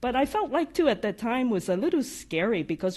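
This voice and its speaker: A woman speaks with a slight non-native accent. Her pitch swings very widely. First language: not English. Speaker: AI practice lead. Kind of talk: podcast interview. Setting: live audience. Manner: occasional stutters.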